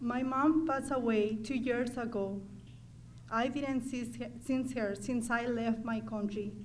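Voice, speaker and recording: In a Mexican accent, a woman with a high pitch talks at a fairly slow pace and with fairly even intonation, with audible room echo. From Mexico. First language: Spanish. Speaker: adult student. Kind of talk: testimony.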